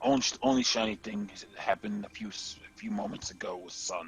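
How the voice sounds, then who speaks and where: A man's put-on character voice at medium pitch and a fairly quick pace. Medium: actual play. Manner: clipped, broken grammar.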